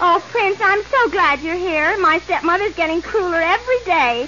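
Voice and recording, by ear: A woman uses a put-on character voice with an extremely high pitch and a bright, sharp tone. Her intonation is lively, the pace is moderate, and there is faint background noise.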